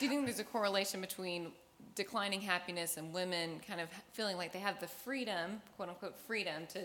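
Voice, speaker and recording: Here a woman talks at a fairly quick pace and medium pitch. Her tone is bright and sharp, with ordinary pitch variation. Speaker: audience question reader. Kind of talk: Q&A.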